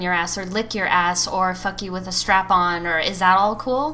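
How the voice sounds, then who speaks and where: A woman speaks in an American accent at a medium pitch and a moderate pace, with fairly even intonation. It is an ordinary speaking voice. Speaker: podcast co-host. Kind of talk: casual chat.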